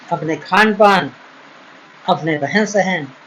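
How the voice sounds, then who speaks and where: This man's voice sits high in pitch, with noticeable background noise behind it. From Uttar Pradesh, India. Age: 60s. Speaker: ayurvedic doctor. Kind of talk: advice talk. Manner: earnest, pleading.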